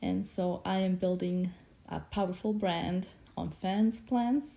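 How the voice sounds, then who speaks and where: A woman speaks with a Bosnian accent. Her tone is dark, mellow and somewhat breathy. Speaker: motivational speaker. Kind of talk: casual livestream talk.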